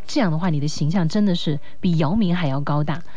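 Through noticeable background noise and audible room echo, a woman speaks fairly quickly at a fairly low pitch with ordinary pitch variation. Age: 20s. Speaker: late-night radio host. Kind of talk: radio call-in chat.

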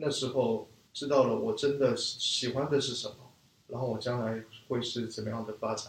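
Here a man with a Korean accent speaks at a medium pitch and with fairly even intonation. Noticeable background noise is present. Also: moderate pace. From raised in China from age 4, Korean family. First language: Korean (speaking Chinese). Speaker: business school student, e-commerce marketer. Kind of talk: interview conversation. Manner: halting, many fillers.

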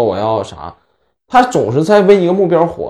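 This is a man with a fairly high pitch. His pitch swings very widely. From Northeast China (Inner Mongolia part). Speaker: podcast co-host. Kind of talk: casual chat.

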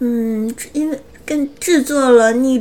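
A woman's high voice with fairly even intonation. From Northeast China. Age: 20s. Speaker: anime news podcast co-host. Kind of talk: news reading; casual chat.

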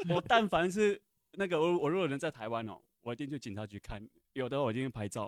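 Very wide pitch swings run through a man's fairly high voice as he talks at a very fast pace, with a dry, close sound and no echo. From Taiwan. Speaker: audience member. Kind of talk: audience comment. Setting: cinema with live audience.

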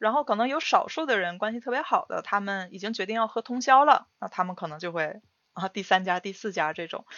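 A woman with a normal speaking voice, fairly high pitch, lively intonation, and a fairly quick pace. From Northeast China. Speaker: podcast co-host. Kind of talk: casual chat.

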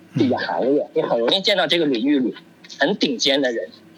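Amid noticeable background noise, a man speaks at a fairly quick pace with lively intonation and a fairly high pitch. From China. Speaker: overseas Chinese professional. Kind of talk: casual discussion.

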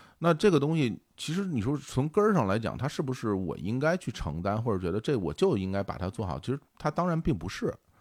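A man's fairly quick delivery with hardly any pauses, vocal fry, and very wide pitch swings, on a very clean recording with a silent background. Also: medium pitch for a man. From Beijing, China. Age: 40s. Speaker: podcast co-founder and host. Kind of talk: casual interview conversation.

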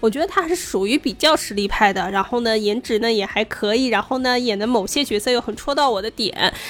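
Over noticeable background noise, a woman with a fairly high voice speaks with hardly any pauses. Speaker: podcast co-host. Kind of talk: casual chat.

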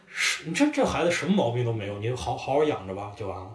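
Amid audible room echo and noticeable background noise, a man talks at a very fast pace. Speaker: podcast guest. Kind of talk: casual chat. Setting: cafe.

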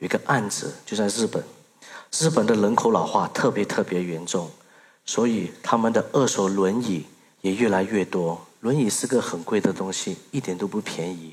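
Moderate-paced male speech, fairly low in pitch, its pitch variation ordinary. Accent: Burmese. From Myanmar, raised in Singapore from age 8. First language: Burmese (speaking Chinese). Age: 30s. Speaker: social entrepreneur. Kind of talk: stage talk. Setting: stage with audience.

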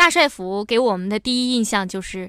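A woman talks at a moderate pace. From Liaoning, northeast China. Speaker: radio travel show host. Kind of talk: radio travel program narration.

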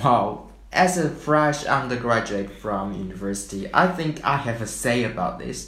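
A man at medium pitch with lively intonation and hardly any pauses, plus noticeable background noise and audible room echo. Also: moderate pace. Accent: Chinese. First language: Chinese. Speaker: podcast co-host. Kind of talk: scripted podcast chat.

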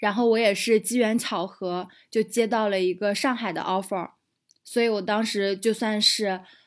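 A normal speaking voice at a moderate pace carries fairly even intonation on a very clean recording with a silent background. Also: woman. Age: 30s. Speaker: digital nomad entrepreneur and guesthouse owner. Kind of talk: casual interview chat.

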